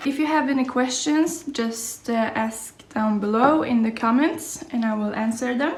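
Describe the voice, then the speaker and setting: Over noticeable background noise, a woman with a Norwegian accent speaks at a fairly slow pace, her pitch fairly high with ordinary variation. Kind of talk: casual vlog talk to camera.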